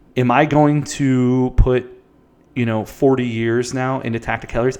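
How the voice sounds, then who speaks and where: A man at a medium pitch and moderate pace, with a normal speaking voice. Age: 30s. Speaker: ecommerce founder, seasoning company owner. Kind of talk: interview.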